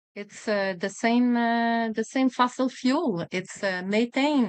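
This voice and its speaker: A woman with a French accent speaks fairly slowly in a fairly high pitch, with ordinary pitch variation. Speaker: physician and environmental advocate. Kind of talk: interview. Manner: halting, many fillers.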